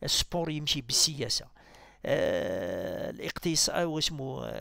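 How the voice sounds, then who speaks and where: A man is recorded with a dry sound and no echo. The background is quiet. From Algeria. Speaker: political commentator. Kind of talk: political monologue. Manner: halting. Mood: critical, argumentative. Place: home room.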